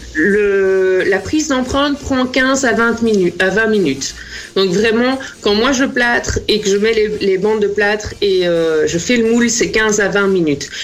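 Audible room echo and noticeable background noise surround a woman who talks at a fairly slow pace, her fairly high pitch moving with lively intonation at a very even loudness. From Belgium, Namur. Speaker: small business owner, plaster casting artist. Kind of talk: interview. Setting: video call.

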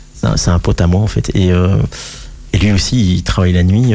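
A very deep, low-pitched man's voice with lively intonation at a moderate pace, amid noticeable background noise and audible room echo. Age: 50s. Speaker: cartoonist. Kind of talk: radio interview.

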